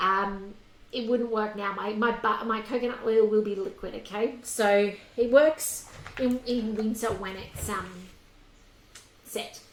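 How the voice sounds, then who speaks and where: Speaking with an Australian accent, a woman uses a fairly high pitch and fairly even intonation at a fairly slow pace, with long, frequent pauses. Audible room echo and noticeable background noise surround her voice. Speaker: cooking demonstrator. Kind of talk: cooking tutorial. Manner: quiet; casual, chatty.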